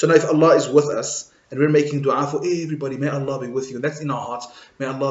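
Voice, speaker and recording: The speech comes at a very fast pace, with audible room echo around it. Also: man. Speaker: imam giving Friday lecture. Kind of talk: sermon. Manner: loud; animated.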